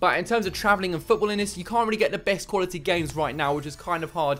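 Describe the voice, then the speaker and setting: A man's high-pitched voice at a very fast pace. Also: ordinary pitch variation. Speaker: football content creator. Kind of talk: casual vlog chat. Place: home room. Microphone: studio mic.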